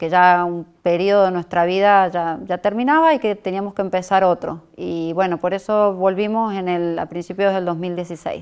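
Over a quiet background, a woman speaks at medium pitch and a fairly slow pace, her intonation fairly even. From Argentina, Córdoba; Argentina. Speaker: mother of a teen model. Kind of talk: interview. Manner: hesitant, many fillers. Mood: calm, reflective. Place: studio.

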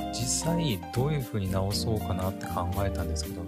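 A man is speaking. Loud background noise is present. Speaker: podcast host. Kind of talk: casual solo podcast talk. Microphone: studio mic.

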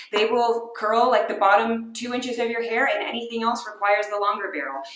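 A woman talks at a fairly quick pace with ordinary pitch variation. Audible room echo fills the recording. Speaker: product reviewer. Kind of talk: casual vlog chat. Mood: frank, wry, unimpressed. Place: home room. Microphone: phone near.

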